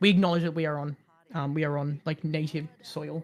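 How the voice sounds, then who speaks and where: Someone speaks at a very fast pace in an Australian accent. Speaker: streamer. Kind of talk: casual chat. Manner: halting, many fillers.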